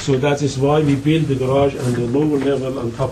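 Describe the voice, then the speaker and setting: With noticeable background noise behind him, a man talks in a medium-pitched voice. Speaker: architect presenting to a design review board. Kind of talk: public meeting presentation. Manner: halting, with fillers.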